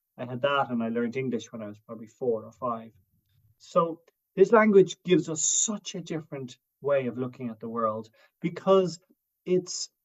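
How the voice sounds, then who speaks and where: A man with an Irish accent at a medium pitch, lively in intonation and fairly quick in pace. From Ireland. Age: 50s. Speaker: writer and broadcaster on Irish language and lore. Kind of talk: interview conversation. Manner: hesitant, with false starts.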